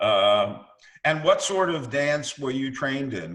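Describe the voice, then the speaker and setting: A man with an American accent has a normal speaking voice, pitched fairly high with ordinary variation. He speaks at a fairly slow pace. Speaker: history professor. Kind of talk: interviewer questions.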